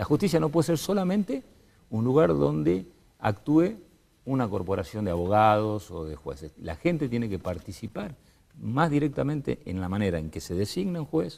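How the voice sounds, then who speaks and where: With very wide pitch swings, a man speaks at a moderate pace in a fairly low voice with a dark, mellow tone. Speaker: political panelist. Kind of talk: televised panel debate.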